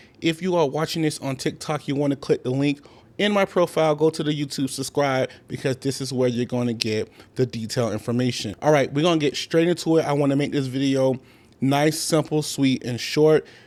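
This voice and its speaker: Speaking at a fairly quick pace, a man uses an ordinary speaking voice with a fairly high pitch and ordinary pitch variation. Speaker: rookie fuel hauler and trucking vlogger. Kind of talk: casual vlog tutorial. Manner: casual and conversational.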